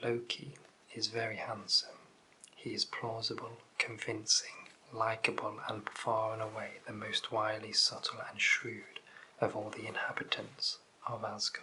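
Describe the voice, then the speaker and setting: Soft-spoken, gentle-toned speech at a fairly slow pace, with noticeable background noise. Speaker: ASMR content creator. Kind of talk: audiobook-style reading of mythology text.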